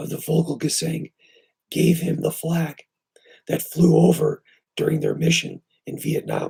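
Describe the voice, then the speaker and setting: A man's dark, mellow voice carries vocal fry and a monotone, flat intonation, broken by long, frequent pauses. The sound is dry and close, with no echo. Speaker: video creator thanking a viewer for a gift.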